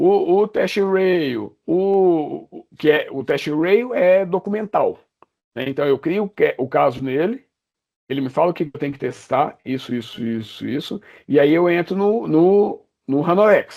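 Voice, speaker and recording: A man with a Brazilian accent speaks at a fairly slow pace, his high pitch carrying a dark, mellow tone and lively intonation. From Brazil, Minas Gerais (Juiz de Fora). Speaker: software company executive. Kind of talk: podcast interview.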